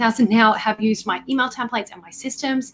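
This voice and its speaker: A woman's fairly high-pitched voice at a very fast pace. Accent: Australian. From Australia. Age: 30s. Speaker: marketing coach. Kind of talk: live online workshop. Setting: livestream. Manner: animated.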